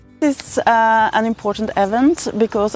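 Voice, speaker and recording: A woman's voice with ordinary pitch variation comes through a dry recording with no echo and light background noise. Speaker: interviewee. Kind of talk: interview answer. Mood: calm explanatory. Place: garden.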